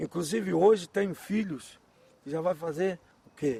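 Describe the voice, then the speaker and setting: A man speaks at a moderate pace with ordinary pitch variation, the sound dry and close with no echo. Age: 60s. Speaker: quilombola community elder. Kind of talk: oral history interview. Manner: emphatic, repetitive.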